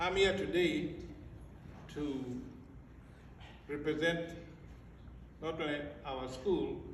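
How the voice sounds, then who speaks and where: A man with an American accent speaks at a very slow pace and a high pitch, with long, frequent pauses and fairly even intonation. Audible room echo and noticeable background noise are present. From Africa. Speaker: school director. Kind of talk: graduation speech. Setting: ceremony with audience. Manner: formal.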